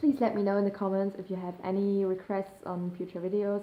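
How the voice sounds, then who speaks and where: Speaking in a German accent at a fairly quick pace, a woman uses a medium pitch. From Germany. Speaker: YouTuber, eating disorder recovery. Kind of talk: casual vlog to camera. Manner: hesitant, many fillers.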